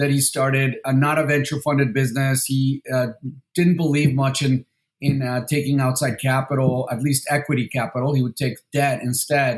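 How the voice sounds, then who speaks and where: Somewhat breathy and medium in pitch, a man's voice keeps a monotone, flat intonation. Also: moderate pace. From Mexico City, then San Diego from age 13. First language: Spanish. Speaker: venture capital investor. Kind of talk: interview. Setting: podcast interview. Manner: halting, many fillers and repetitions.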